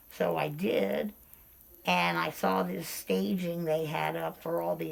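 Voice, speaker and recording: In an American accent, a woman speaks at a fairly slow pace. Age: 60s. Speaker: interviewee sharing hearing loss experience. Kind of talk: casual interview, personal anecdotes.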